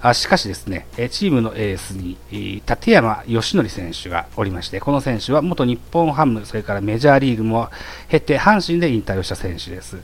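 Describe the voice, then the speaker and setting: Through noticeable background noise, a man with medium pitch speaks at a moderate pace with very wide pitch swings. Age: 40s. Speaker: baseball podcast host. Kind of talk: solo monologue presenting prepared notes. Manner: frequent filler hesitations.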